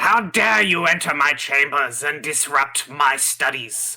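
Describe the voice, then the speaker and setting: A man performs in a put-on character voice. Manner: booming, indignant, pompous.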